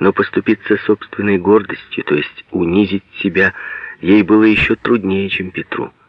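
The clip features a natural reading voice.

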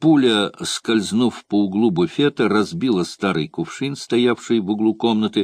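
Someone does plain reading aloud.

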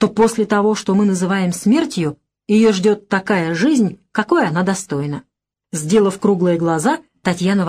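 The speaker reads aloud plainly with ordinary pitch variation against a quiet background.

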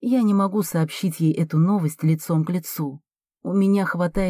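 The setting is quiet. A speaker is reading aloud in a natural voice.

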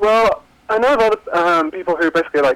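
At a moderate pace, a man talks in an English accent. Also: dry, close sound with no echo. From England. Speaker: caller. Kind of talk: casual chat. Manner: halting.

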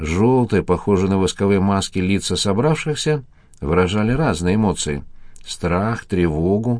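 Reading aloud in a natural voice, with ordinary pitch variation

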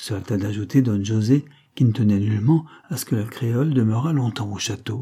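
The pitch moves with ordinary variation. The voice is an unforced reading voice.

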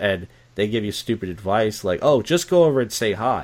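In a very clean recording with a silent background, a man talks with a Philadelphia accent.

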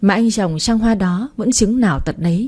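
Natural-voiced reading aloud, its pitch varying in ordinary fashion

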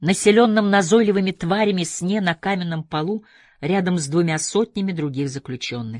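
A plain read-aloud delivery

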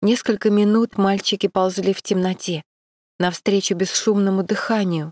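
An unforced reading voice with fairly even intonation against a quiet background

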